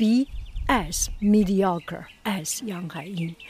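Through noticeable background noise, a woman with a medium pitch talks at a very slow pace. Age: 60s. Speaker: artist and podcaster. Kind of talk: casual monologue. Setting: outdoors in backyard.

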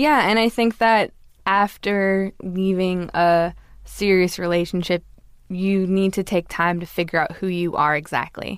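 An unremarkable speaking voice from a woman with an American accent, medium-pitched with ordinary pitch variation, at a fairly slow pace in a very clean recording with a silent background. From Los Angeles, US.

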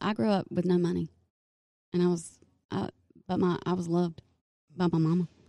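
A woman talks with a Southern US accent. Her medium-pitched voice has a dark, mellow tone. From North Carolina. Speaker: hairstylist and salon owner. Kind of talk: casual interview chat.

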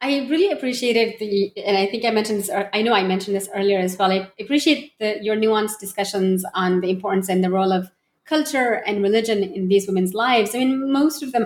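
Fairly high in pitch with ordinary pitch variation, a woman speaks with a Pashto accent at a fairly quick pace. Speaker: podcast co-host. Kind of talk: academic interview. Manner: halting.

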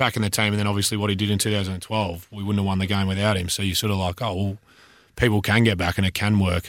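On a very clean recording with a silent background, a man with an Australian accent speaks very fast in a fairly low, flat monotone. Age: 20s. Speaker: retired footballer. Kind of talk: casual chat. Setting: studio. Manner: halting.

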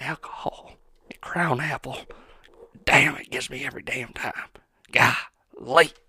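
A man whispers, leaving long, frequent pauses. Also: fairly slow pace. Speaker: podcast host. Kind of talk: solo casual chat. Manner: rambling, halting with many fillers.

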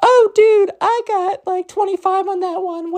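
A squeaky, put-on character voice, female-sounding and extremely high in pitch, at a fairly slow pace. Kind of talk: casual slang.

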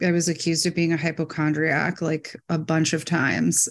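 A woman with a normal speaking voice, an American accent, fairly low pitch and moderate pace. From Michigan, US Midwest. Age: 40s. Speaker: adoptee sharing her story. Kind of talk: interview testimony.

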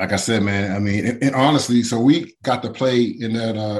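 Fairly low-pitched and fairly quick, a man's unremarkable speaking voice with fairly even intonation. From Pittsburgh, Pennsylvania (from age seven). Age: 40s. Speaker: former NFL player. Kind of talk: interview. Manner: casual, many fillers and restarts.

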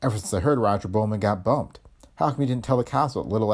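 Someone reading aloud in a natural voice, the pitch shifting only an ordinary amount

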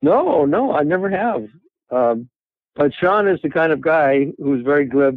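In a normal speaking voice, a man talks at a fairly high pitch with lively intonation and very even loudness. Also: fairly slow pace. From Canada, Toronto. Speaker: cinematographer. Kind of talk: interview.

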